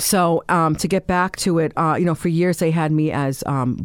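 Very deep, low female voice with fairly even intonation and a moderate pace, on a very clean recording over a silent background. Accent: New York. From New York, Staten Island. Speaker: formerly homeless woman. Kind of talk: interview testimony. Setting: studio. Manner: halting.

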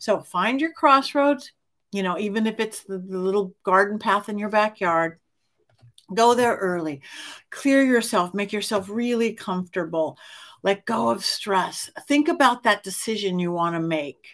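In a very clean recording with a silent background, a woman speaks at medium pitch and a moderate pace with lively intonation. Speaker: podcast host. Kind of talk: casual interview. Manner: animated.

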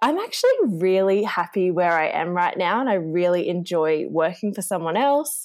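A woman with an Australian accent speaks at a fairly slow pace with lively intonation. The recording is very clean, with a silent background. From Australia, rural northern New South Wales. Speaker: marketing employee. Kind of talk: interview.

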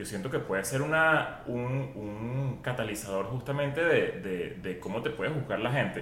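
A man speaks at a medium pitch with ordinary pitch variation. The room echo is audible, and background noise is noticeable. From Venezuela. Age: 40s. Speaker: podcaster and internet comedian. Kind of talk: casual chat.

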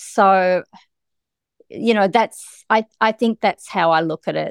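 In an Australian accent, a woman talks at a very slow pace with lively intonation, the sound dry and close with no echo. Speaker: guest, wife of a wrongfully convicted man. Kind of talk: casual interview, telling her story. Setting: remote call across countries.

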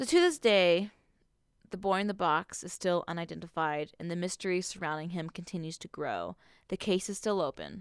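In an ordinary speaking voice, a woman talks at a moderate pace with fairly even intonation and big swings in loudness, captured in a very clean recording with a silent background and a dry, close sound with no echo. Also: fairly low pitch for a woman. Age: 20s. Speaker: podcast co-host. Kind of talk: casual chat.

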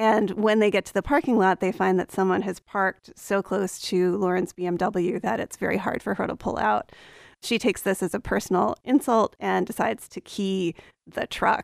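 A woman's medium-pitched voice with an American accent and vocal fry, at a moderate pace, dry and close with no echo, in a very clean recording with a silent background. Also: ordinary pitch variation. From Appalachian Virginia. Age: 30s. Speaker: novelist and English professor. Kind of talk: interview. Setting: radio studio.

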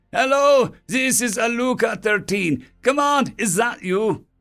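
In a put-on character voice with a fairly bright tone, the speaker moves at a fairly slow pace with lively intonation over faint background music, in a very clean recording with an otherwise silent background. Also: man, extremely high pitch for a man.

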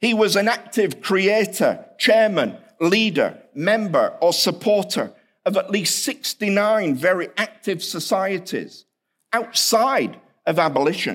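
Speaking slowly-ish with a British accent, a man uses a high pitch and ordinary pitch variation on a very clean recording with a silent background. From England, Hull. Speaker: seminary professor, historian. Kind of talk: chapel lecture.

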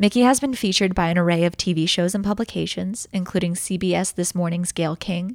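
A woman speaks at a moderate pace at medium pitch, with fairly even intonation. It is a plain, everyday voice. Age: 20s. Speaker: podcast co-host, songwriter. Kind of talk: casual interview chat; scripted introduction.

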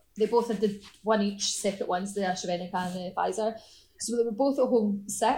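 Speaking very fast in a strong Scottish accent, a woman has a dark, mellow, somewhat breathy tone. Her pitch is medium and her intonation fairly even. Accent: Scottish, strong enough that people struggle. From Scotland. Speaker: artist. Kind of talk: casual interview chat.

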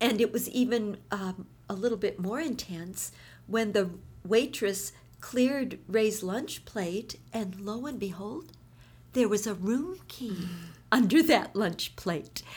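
Very slow, somewhat breathy speech in an American accent with ordinary pitch variation. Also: woman, fairly high pitch for a woman. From US Midwest, Minneapolis. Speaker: pastor's wife and Bible teacher. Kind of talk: interview testimony and encouragement.

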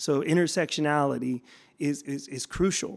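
Over a very clean recording with a silent background, a man with a fairly high pitch speaks at a moderate pace and with fairly even intonation. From US West Coast, San Francisco Bay Area. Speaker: educator and education consultant. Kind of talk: interview conversation. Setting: at a conference. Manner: halting with frequent repetitions.

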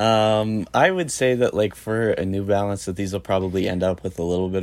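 In a Canadian accent, a man speaks at a moderate pace with a normal speaking voice, fairly low pitch and fairly even intonation. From Medicine Hat, Alberta, Canada. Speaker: guest co-host, sneaker reseller. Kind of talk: casual chat.

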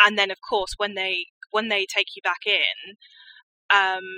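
A woman with a southern English accent and medium pitch has a bright, sharp tone, recorded with a dry, close sound and no echo. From rural Hampshire, southern England. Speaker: mental health campaigner. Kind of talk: interview.

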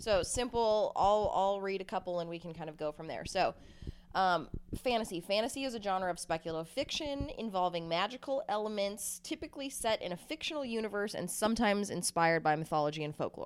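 With an ordinary speaking voice, a woman talks at a medium pitch. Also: lively intonation. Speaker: podcast host. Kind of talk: casual banter, hosting a podcast. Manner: playful, upbeat, teasing.

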